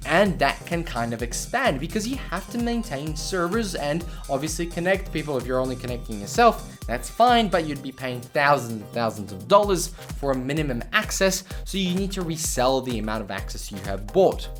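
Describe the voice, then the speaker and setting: With music in the background, a man talks with hardly any pauses and big swings in loudness. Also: moderate pace. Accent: Australian. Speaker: tech YouTuber. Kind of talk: casual talk to camera.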